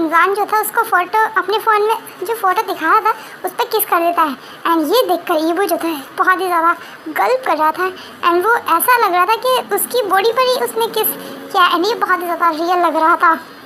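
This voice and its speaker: A fairly quick pace against clear background noise. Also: woman, extremely high pitch for a woman, very even loudness. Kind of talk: casual Hinglish story recap. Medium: read story. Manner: informal, repetitive fillers, self-correcting.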